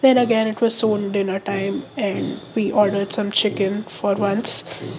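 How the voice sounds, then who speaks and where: A woman with a medium pitch speaks at a moderate pace in a monotone, flat intonation against noticeable background noise. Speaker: college student. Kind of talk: casual vlog narration.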